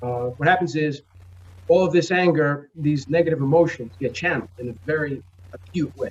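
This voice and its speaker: Speaking fairly quickly in a New York accent, a man sounds somewhat breathy, with a fairly high pitch and ordinary pitch variation. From New York, the Bronx. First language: Spanish. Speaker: comic book publisher. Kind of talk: interview.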